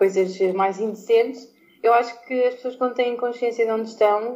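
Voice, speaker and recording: A woman speaks at a fairly slow pace in a high-pitched voice. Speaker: former podcast co-host returning as guest. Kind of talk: casual debate among friends.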